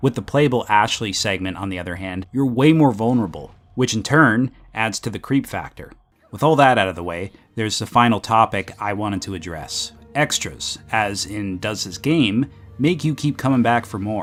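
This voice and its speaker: With music in the background, a man speaks at a moderate pace in a medium pitch, his intonation lively and his loudness swinging widely. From Canada. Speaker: video game reviewer. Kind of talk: scripted review narration.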